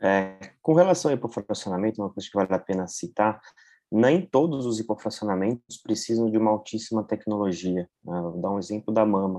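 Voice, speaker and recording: A man speaks at a fairly quick pace, his fairly low voice dark and mellow in tone with ordinary pitch variation. The background is quiet. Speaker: radiation oncologist. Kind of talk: professional panel discussion.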